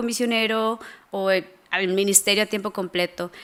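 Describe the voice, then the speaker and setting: Her tone is bright and sharp as this woman speaks at a moderate pace. Pitch varies in an ordinary way. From Costa Rica. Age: 20s. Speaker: missions fundraising coordinator. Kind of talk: interview conversation. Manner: hesitant, many fillers.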